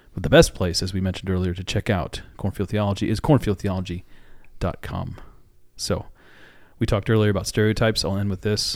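A man with an American accent and a normal speaking voice talks at a fairly quick pace and a fairly low pitch. His pitch variation is ordinary, and the recording is very clean with a silent background. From Iowa. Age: 40s. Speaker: pastor and podcast host. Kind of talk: podcast outro; casual theological discussion.

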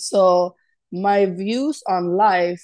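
A woman at a medium pitch speaks with ordinary pitch variation against a quiet background. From Sweden. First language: Swedish. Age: 20s. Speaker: sales executive. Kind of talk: interview.

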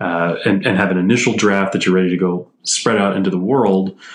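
An unremarkable speaking voice from a man, fairly low in pitch, at a fairly quick pace. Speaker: energy engineer. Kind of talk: casual chat.

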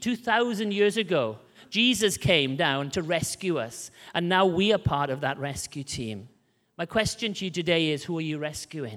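In a Welsh accent, a man talks at a moderate pace in a high pitch, his tone animated and his pitch swinging very widely. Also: very clean recording, silent background. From rural Wales. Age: 30s. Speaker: missionary preacher. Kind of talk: sermon. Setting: church.

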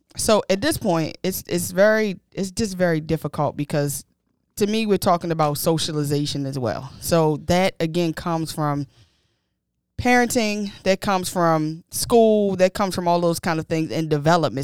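A woman talks in a normal speaking voice, fairly low in pitch, with ordinary pitch variation and a moderate pace. The recording is very clean, with a silent background and a dry, close sound with no echo. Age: 30s. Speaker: podcast co-host. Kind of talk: casual chat.

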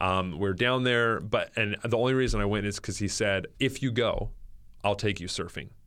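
An ordinary speaking voice from a man with an American accent, fairly low in pitch, moderately paced, with fairly even intonation, on a very clean recording with a silent background. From northern California. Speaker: pastor. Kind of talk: testimony. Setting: studio. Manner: casual.

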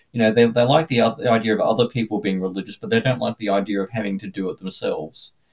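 A man with an Australian accent, talking at a very fast pace with hardly any pauses. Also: medium pitch for a man, ordinary pitch variation. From Australia, suburban Brisbane. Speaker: Anglican priest and theologian. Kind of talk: interview testimony.

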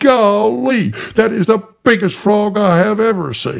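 A man bellows in a put-on character voice, high-pitched and raised to project, at a moderate pace. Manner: bellowing.

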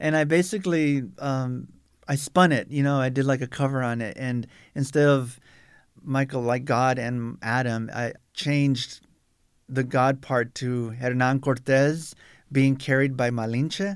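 In a normal speaking voice with an American accent, a man talks at a medium pitch and a fairly slow pace with fairly even intonation, on a very clean recording with a silent background. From South Tucson, Arizona. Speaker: artist and museum exhibit preparator. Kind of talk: interview. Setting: studio.

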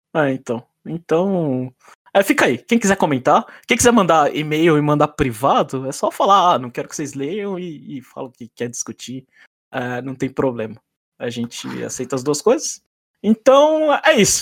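In a normal speaking voice, a man with a fairly high pitch and lively intonation speaks at a moderate pace with big swings in loudness, the sound dry and close with no echo in a very clean recording with a silent background. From Brazil, São Paulo. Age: 30s. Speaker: podcast host. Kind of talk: casual chat.

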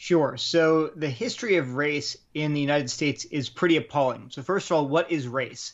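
A man with a plain, everyday voice talks at a moderate pace. His pitch is fairly high, with ordinary pitch variation. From Delaware, US. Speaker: apologetics writer, former chemistry researcher. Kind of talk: interview on faith and race.

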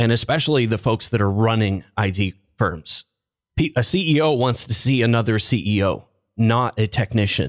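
An ordinary speaking voice from a man at medium pitch and moderate pace, with ordinary pitch variation and very even loudness, in a very clean recording with a silent background and a dry, close sound with no echo. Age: 40s. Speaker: LinkedIn marketing consultant, former IT business owner. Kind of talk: interview.

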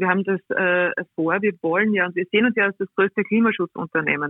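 This woman has a normal speaking voice, medium in pitch, delivered at a moderate pace with fairly even intonation. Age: 40s. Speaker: railway executive. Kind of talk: interview. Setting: remote call-in.

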